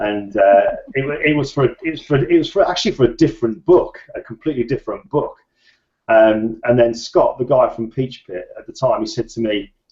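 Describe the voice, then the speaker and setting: A man's fairly quick delivery with big swings in loudness. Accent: British. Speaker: photographer and author. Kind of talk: interview.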